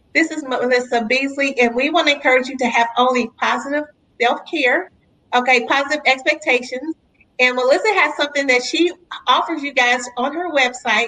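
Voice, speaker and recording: A woman's raised, projected, high-pitched voice, animated in tone and at a fairly quick pace. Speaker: podcast host. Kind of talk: interview.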